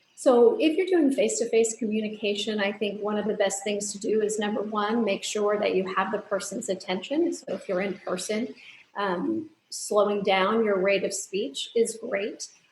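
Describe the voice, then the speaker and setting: Background noise is noticeable throughout. Her voice sits fairly high for a woman. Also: ordinary pitch variation, moderate pace. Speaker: audiologist. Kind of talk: interview answer.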